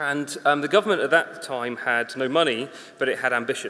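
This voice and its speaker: Through noticeable background noise, a man talks at a fairly quick pace in a fairly high pitch with ordinary pitch variation. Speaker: conference speaker, infrastructure consultant. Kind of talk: conference talk. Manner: fast; casual, humorous.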